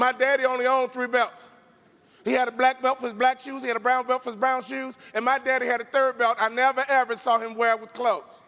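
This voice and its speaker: A man speaks at an extremely high pitch and a very fast pace. His voice is raised and projected. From Chicago, South Side. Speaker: motivational speaker, former NBA player. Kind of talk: keynote speech. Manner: animated.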